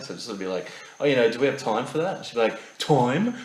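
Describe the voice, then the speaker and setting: The voice comes with an Australian accent. Audible room echo and noticeable background noise fill the recording. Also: man. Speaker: podcast co-host. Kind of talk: casual chat.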